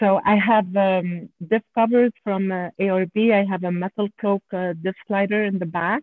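A woman with a French accent speaks at a fairly slow pace, with hardly any pauses. Her medium pitch holds fairly even intonation. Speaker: off-road enthusiast and engineer. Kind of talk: interview. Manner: halting.

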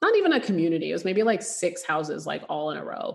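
The woman's voice is fairly low in pitch. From Canada. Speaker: real estate investor. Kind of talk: interview.

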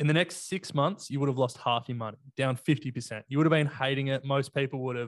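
Against a quiet background, a man with an Australian accent talks at a medium pitch and moderate pace with fairly even intonation, in a dry, close sound with no echo. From Australia, Sydney. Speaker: investing podcaster. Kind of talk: casual chat. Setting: video call.

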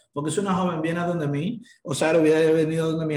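A man with a fairly high voice talks very fast, with audible echo in the room. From Dominican Republic. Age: 20s. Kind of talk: interview conversation.

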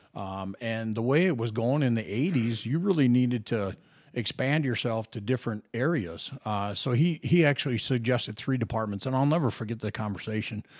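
A man with an ordinary speaking voice talks at a fairly quick pace with an American accent, his medium pitch showing ordinary pitch variation. The recording is very clean, with a silent background. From Minnesota. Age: 50s. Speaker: retired police officer. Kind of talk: casual interview chat.

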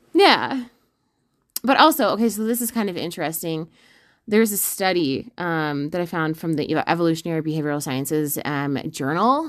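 In a very clean recording with a silent background, a woman uses an ordinary speaking voice, fairly low in pitch, talking at a fairly quick pace with lively intonation. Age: 20s. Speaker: podcast host and ultra runner. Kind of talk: casual chat.

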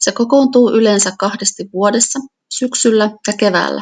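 A woman with a plain, everyday voice speaks at medium pitch and a fairly slow pace, with ordinary pitch variation. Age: 40s. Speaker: local politician. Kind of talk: reading aloud.

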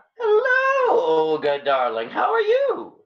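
A man uses a put-on character voice at an extremely high pitch, with very wide pitch swings. He speaks at a slow pace, and audible room echo surrounds him.

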